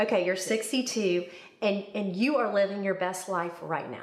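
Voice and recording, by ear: At a moderate pace, a woman speaks with pitch that varies in an ordinary way. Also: medium pitch for a woman.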